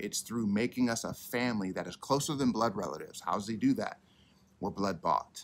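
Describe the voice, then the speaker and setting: The man's pace is moderate. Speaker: church pastor. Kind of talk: sermon. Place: garden.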